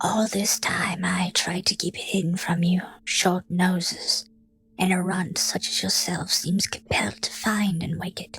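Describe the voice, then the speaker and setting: The speaker whispers in a put-on character voice. The pace is moderate. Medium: read story. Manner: irritated, fearful undertone.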